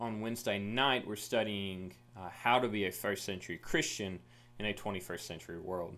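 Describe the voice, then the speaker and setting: A man with an American accent, fairly low in pitch, at a moderate pace. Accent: Southern, stronger around family. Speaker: youth minister. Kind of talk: recorded Bible lesson for youth.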